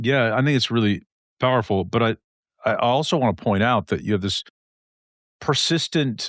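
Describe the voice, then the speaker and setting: Long, frequent pauses, ordinary pitch variation and very even loudness over a quiet background. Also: man, medium pitch for a man, moderate pace, dry, close sound with no echo. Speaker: podcast host. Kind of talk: podcast interview questions.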